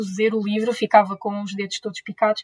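Somewhat breathy, monotone, flat delivery at a fairly quick pace, in a dry, close sound with no echo. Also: woman. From Portugal, Leiria. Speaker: zero-waste influencer and PhD student. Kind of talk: interview.

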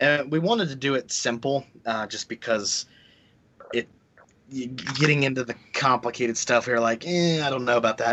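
Against noticeable background noise, a man talks at a moderate pace with a medium pitch and ordinary pitch variation. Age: 30s. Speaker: game developer. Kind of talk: casual chat.

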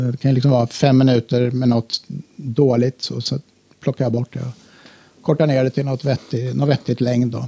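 Somewhat breathy, a man at medium pitch speaks in a dark, mellow tone with monotone, flat intonation and a dry, close sound with no echo. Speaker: electronic musician. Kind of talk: interview.

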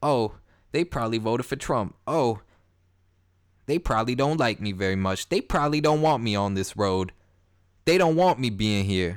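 At a moderate pace and medium pitch, a man speaks with lively intonation and long, frequent pauses. The recording is very clean, with a silent background. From Canada, Toronto. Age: 20s. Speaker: podcast host. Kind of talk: casual monologue.

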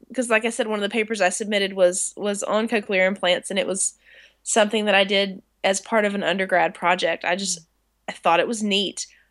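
Against a quiet background, a woman speaks at a fairly quick pace. She has an unremarkable speaking voice at medium pitch. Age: 30s. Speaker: music therapist and researcher. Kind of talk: casual chat.

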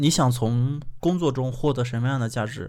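Speaking at a moderate pace, a man uses a normal speaking voice with a medium pitch and ordinary pitch variation. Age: 20s. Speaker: podcast host. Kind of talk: casual chat.

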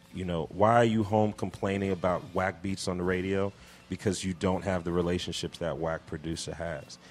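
A man with a New York accent, very deep and low in pitch, at a moderate pace with fairly even intonation. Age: 40s. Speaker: hip hop producer and executive. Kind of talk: casual interview. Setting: radio studio.

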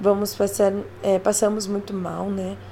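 Moderately paced speech from a woman amid noticeable background noise. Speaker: podcast host reading an article aloud. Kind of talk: audiobook narration, reading an article aloud. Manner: even, calm, explanatory, formal-sounding reading pace; friendly and chatty when addressing listeners.

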